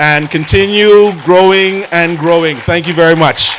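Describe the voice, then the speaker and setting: Against noticeable background noise, a man with a high pitch speaks at a moderate pace and fairly even intonation. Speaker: actor and cultural advocate. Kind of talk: speech.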